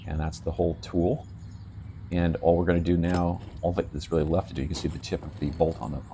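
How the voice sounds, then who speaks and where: Racing at a very fast pace, a man speaks in a very deep, low voice with a dark, mellow tone, vocal fry and ordinary pitch variation. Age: 60s. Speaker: EDC tool reviewer. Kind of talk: tutorial. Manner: halting.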